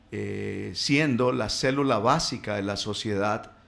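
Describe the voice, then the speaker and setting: A man talks very slowly, his medium-pitched voice showing ordinary pitch variation. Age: 60s. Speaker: radio guest speaking on family and faith. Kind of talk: radio talk. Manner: halting, many fillers.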